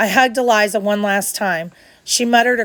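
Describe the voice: Intonation stays fairly even throughout. It is plain reading aloud.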